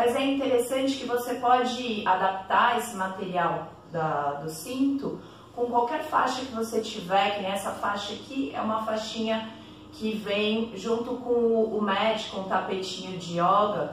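Audible room echo and light background noise surround a woman who speaks at a fairly slow pace with ordinary pitch variation. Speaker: yoga teacher. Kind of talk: tutorial. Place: home room. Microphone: camera far.

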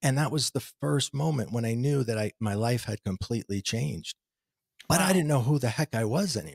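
A somewhat breathy man with an American accent, a fairly quick pace and very wide pitch swings, the sound dry with no echo over a quiet background. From New Jersey, US. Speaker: spiritual teacher. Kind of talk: interview. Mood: reflective, earnest. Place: home room. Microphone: studio mic.

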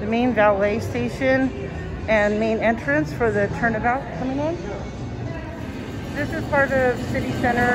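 Clear music plays in the background. The speech moves at a moderate pace with long, frequent pauses. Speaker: vlogger touring a casino. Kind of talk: casual vlog chat. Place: hall. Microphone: phone near.

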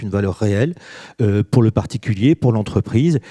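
Over a quiet background, a man speaks at a fairly quick pace in a dark, mellow tone. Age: 50s. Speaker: business executive and author; panelist. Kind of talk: panel discussion. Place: hall. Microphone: handheld.

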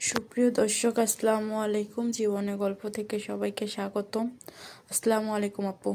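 A woman speaks with a fairly high pitch and a dark, mellow tone. Her intonation is monotone and flat. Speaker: matchmaking video interviewer. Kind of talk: interview.

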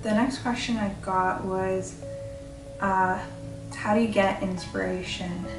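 A woman speaking at a very slow pace over clear music in the background. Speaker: painter. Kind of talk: casual talk to camera. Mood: warm, friendly. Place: home room.

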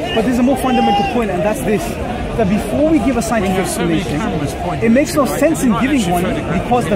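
A man at a very fast pace with ordinary pitch variation, crowd noise behind him. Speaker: street debater. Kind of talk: debate argument. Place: street. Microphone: phone near.

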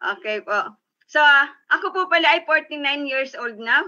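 Against a quiet background, a woman raises and projects her voice. Her tone is bright and sharp, and her intonation is lively. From Philippines. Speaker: business sharer; guest. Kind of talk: testimony. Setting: video call. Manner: stumbling over words. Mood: upbeat, motivational. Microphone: video call.

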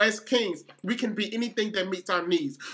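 A high-pitched man projects his voice loudly. He keeps a moderate pace. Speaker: spoken word poet. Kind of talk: spoken word poetry performance.

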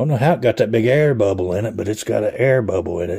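The man's voice is dark and mellow, somewhat breathy, and set against a quiet background. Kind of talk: casual gear show-and-tell. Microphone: phone near.

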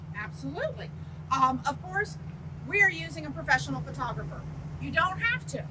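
A woman's fairly quick speech with long, frequent pauses and noticeable background noise. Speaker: real estate agent. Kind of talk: casual training video. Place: street. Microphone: lapel.

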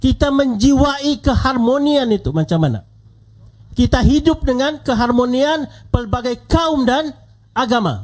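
At a fairly slow pace, a man speaks against a quiet background. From Sabah. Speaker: politician, deputy minister; politician at rally. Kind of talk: political rally speech. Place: hall. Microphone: handheld.

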